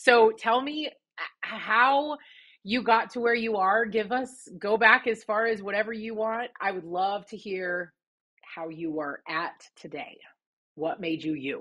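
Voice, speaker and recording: Her voice an unremarkable speaking voice, a woman talks at a fairly high pitch and a fairly slow pace, with lively intonation and big swings in loudness. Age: 30s. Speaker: podcast host. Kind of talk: podcast interview.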